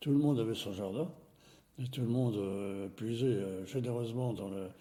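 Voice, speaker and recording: A man speaks at medium pitch with a dark, mellow tone and ordinary pitch variation. His pace is moderate, and there is audible room echo. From France, Nevers (Burgundy). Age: 80s+. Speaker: elderly witness of wartime childhood. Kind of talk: life-story interview. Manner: hesitant, many fillers.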